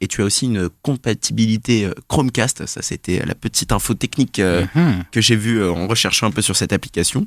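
The recording is very clean and dry, close with no echo and a silent background. A man speaks at a moderate pace in an unremarkable speaking voice, his pitch medium with ordinary variation. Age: 20s. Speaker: office colleague presenting podcast apps. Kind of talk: casual chat.

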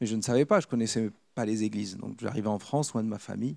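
A man talks at a very fast pace with ordinary pitch variation, at a medium pitch and in a dark, mellow tone. The recording is very clean, with a silent background. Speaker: preacher. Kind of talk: sermon; testimony.

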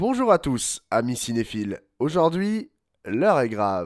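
Very wide pitch swings mark this man's speech at a fairly slow pace. The recording is very clean, dry and close, with no echo and a silent background. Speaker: radio film critic. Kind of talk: comedic film review. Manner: animated.

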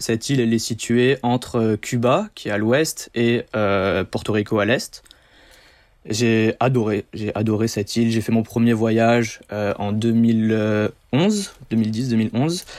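The man's intonation is fairly even. He talks at a very slow pace. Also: medium pitch for a man. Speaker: diving instructor. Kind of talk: interview.

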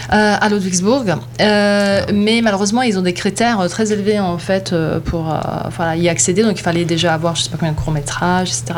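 The woman speaks at a medium pitch. Her voice comes with audible room echo and noticeable background noise. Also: ordinary pitch variation, moderate pace. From Bosnia (Sarajevo), schooled in Germany. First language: Bosnian; best language German (speaking French). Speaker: filmmaker. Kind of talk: casual interview. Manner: hesitant, many fillers.

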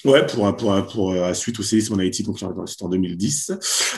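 A man with a fairly low pitch talks at a fairly slow pace, with ordinary pitch variation. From Paris suburbs (Val d'Oise), France. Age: 30s. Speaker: comedian and show producer. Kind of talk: casual interview. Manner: halting, many repetitions.

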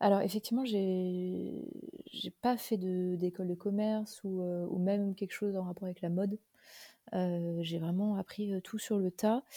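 At a fairly slow pace, a dark, mellow voice speaks in a flat monotone, with a dry, close sound and no echo. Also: woman, medium pitch for a woman. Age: 30s. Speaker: vintage clothing shop founder. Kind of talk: interview. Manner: hesitant, many fillers.

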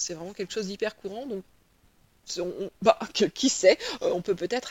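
A woman speaks with ordinary pitch variation. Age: 40s. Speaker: literature professor. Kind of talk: interview. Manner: halting.

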